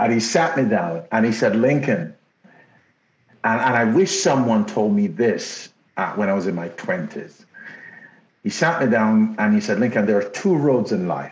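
Moderate pace in a Jamaican accent, lively intonation, and long, frequent pauses. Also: man, medium pitch for a man. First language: Jamaican Patois. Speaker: podcast co-host. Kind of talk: casual chat.

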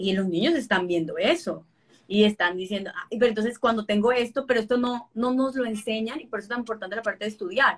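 A woman talks very fast in a fairly high, somewhat breathy voice with ordinary pitch variation. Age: 30s. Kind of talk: interview.

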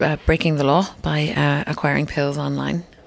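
A woman speaks in a Cork accent. Her pace is moderate. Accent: Irish (Cork). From Ireland (Cork). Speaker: comedian and author. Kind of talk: casual interview conversation. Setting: hotel hallway. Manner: animated, laughs often.

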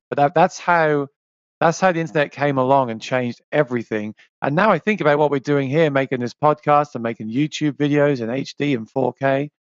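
A man with an English accent talks at a fairly quick pace, his fairly high pitch moving with ordinary variation. The sound is dry and close with no echo, over a quiet background. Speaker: musician and YouTuber. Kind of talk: casual interview chat.

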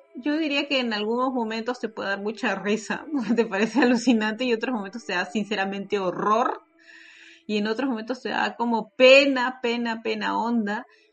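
At a moderate pace, a woman with a fairly high pitch and ordinary pitch variation speaks over noticeable background noise. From Peru. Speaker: podcaster. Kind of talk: casual chat.

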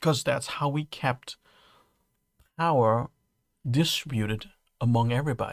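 A man's medium-pitched speech with a Dutch accent, moderate in pace with ordinary pitch variation and long, frequent pauses, in a very clean recording with a silent background and a dry, close sound with no echo. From Netherlands. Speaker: podcast host. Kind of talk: solo podcast monologue. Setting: home studio, late at night. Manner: halting.

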